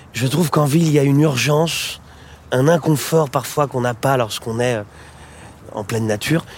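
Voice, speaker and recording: A man speaks at a fairly quick pace in a fairly high voice. His intonation stays fairly even, broken by long, frequent pauses. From Paris, France. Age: 40s. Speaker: singer-songwriter. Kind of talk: casual chat. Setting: outdoors.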